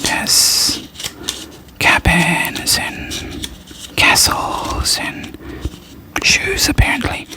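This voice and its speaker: Whispering at a very slow pace, a woman leaves long, frequent pauses over noticeable background noise. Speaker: ASMR creator. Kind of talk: whispered ASMR unboxing haul. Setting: studio, recorded with a Blue Yeti microphone. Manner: soft-spoken, whispering.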